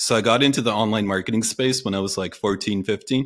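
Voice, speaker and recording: With an ordinary speaking voice, a man talks at a medium pitch and ordinary pitch variation. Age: 30s. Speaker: copywriter and online entrepreneur. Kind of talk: casual chat.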